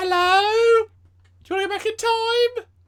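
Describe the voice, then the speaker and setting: A female-sounding, put-on character voice, squeaky and extremely high-pitched, moves at a fairly slow pace. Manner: silly, spoofing.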